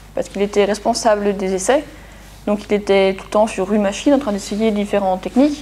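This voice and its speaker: A woman with a fairly high voice talks fairly quickly while noticeable noise fills the background. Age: 20s. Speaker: engineer. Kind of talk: testimony interview. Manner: halting, many fillers.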